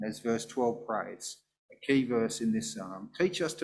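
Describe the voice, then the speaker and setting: This man has a normal speaking voice at a medium pitch and a moderate pace. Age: 50s. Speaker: pastor. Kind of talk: sermon. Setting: church.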